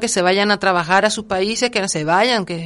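Against a quiet background, a woman at medium pitch talks at a moderate pace in an ordinary speaking voice, with ordinary pitch variation. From Gran Canaria. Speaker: cultural association coordinator. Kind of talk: interview.

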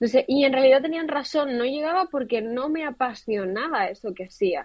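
Speaking at a fairly quick pace, a woman with a high pitch uses ordinary pitch variation. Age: 30s. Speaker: fashion designer. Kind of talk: interview.

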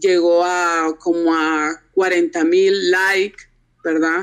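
This is a woman speaking. Her pace is very slow. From Honduras. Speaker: architect and blogger. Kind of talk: interview. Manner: halting.

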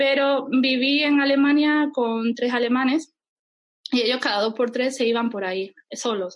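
A woman talks fairly slowly in a high voice with ordinary pitch variation. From Andalusia, Spain. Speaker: travel blogger. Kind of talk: interview.

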